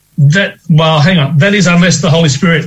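The speaker is a man with ordinary pitch variation. His delivery comes at a moderate pace. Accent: Australian. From Western Australia. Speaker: co-host. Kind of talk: radio discussion, Bible reading and prayer. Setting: remote link from another city.

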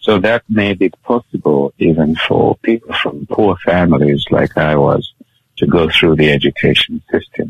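The delivery moves at a moderate pace, with ordinary pitch variation and very even loudness. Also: man, very deep, low pitch for a man. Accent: Zambian. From Zambia, Kitwe. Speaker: guest sharing life story. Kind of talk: interview testimony.

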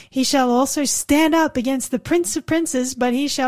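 With an Australian accent, a woman speaks at a high pitch. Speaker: radio host. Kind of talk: religious radio talk show. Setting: studio.

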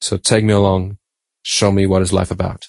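A man with a German accent, fairly low in pitch, at a moderate pace, dry and close with no echo against a quiet background. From Germany. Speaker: Bible study panelist. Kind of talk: Bible study discussion.

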